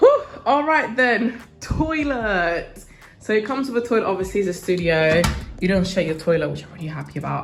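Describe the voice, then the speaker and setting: A woman with a British accent speaks at a medium pitch. Her loudness swings widely, and the room echo is audible. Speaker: university student vlogger. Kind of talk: casual vlog room tour. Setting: indoors, student studio flat. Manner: fast.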